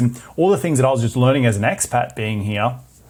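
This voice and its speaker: A man with an Australian accent talks at a fairly quick pace, somewhat breathy and medium in pitch, in a very clean recording with a silent background. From Australia (Brisbane). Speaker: real estate investor and podcast host. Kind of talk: interview.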